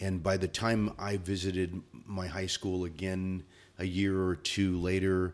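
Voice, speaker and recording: The speaker goes at a fairly slow pace with a monotone, flat intonation. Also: man. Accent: American. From Southern California, San Bernardino area. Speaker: school principal and educator. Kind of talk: interview. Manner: halting.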